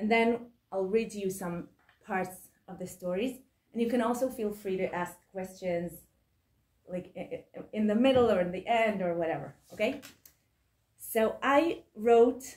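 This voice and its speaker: Somewhat breathy speech in an Israeli accent comes at a fairly slow pace with ordinary pitch variation. Long, frequent pauses break it up. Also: woman. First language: Hebrew. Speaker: author and book editor. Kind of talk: lecture. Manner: halting.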